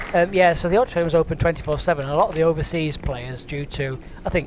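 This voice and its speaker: With a northern English accent, a man rattles along at a very fast pace, his intonation fairly even, over noticeable background noise. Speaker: bowls commentator. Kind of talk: live commentary. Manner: casual, conversational.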